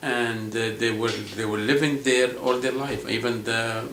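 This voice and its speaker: Amid audible room echo and noticeable background noise, a man speaks at a medium pitch in a monotone, flat intonation. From South Lebanon, Palestinian refugee camp near Tyre. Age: 60s. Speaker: school administrator and adjunct college teacher. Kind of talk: interview. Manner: halting, with self-corrections.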